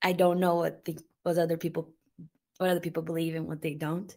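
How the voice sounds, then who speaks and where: A woman talks at a fairly low pitch in a Portuguese accent. The recording is very clean, with a silent background. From Brazil. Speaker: YouTuber and mother. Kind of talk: interview testimony. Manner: halting, many fillers.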